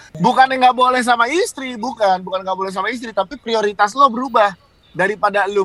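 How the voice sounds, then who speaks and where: A man with a high pitch speaks in a raised, projected voice at a fairly quick pace with ordinary pitch variation. Background noise is noticeable. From Surabaya, East Java. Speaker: radio announcer and podcaster. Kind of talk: casual chat.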